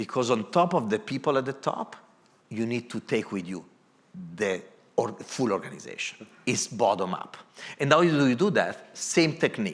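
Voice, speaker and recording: Speaking with an Italian accent at a medium pitch, a man keeps a moderate pace, with very wide pitch swings and long, frequent pauses. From Italy. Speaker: corporate design executive. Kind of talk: moderated panel talk.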